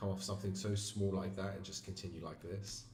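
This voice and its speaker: A quiet man at a fairly low pitch and a moderate pace, with audible room echo. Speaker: forex trader streamer. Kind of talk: live trading stream commentary. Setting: live stream. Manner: quiet, low energy. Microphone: mic moved closer; audio was quiet.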